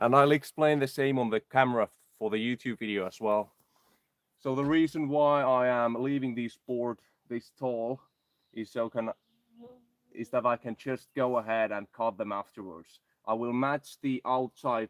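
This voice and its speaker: A man's medium-pitched voice with a Finnish accent, at a moderate pace with long, frequent pauses and fairly even intonation, in a dry, close sound with no echo. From Finland. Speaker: outdoor vlogger. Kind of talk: live stream chat while building.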